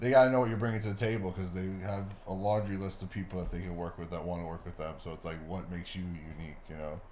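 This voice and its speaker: A man with an American accent talks at a very fast pace, with hardly any pauses. His pitch is very deep and low, and the room echo is audible. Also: ordinary pitch variation. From New York. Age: 30s. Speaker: actor and content creator. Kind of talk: casual chat.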